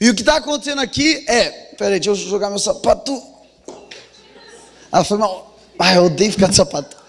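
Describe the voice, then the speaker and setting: Over noticeable background noise, a man with a high voice speaks with lively intonation and long, frequent pauses. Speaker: pastor. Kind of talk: sermon. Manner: fast.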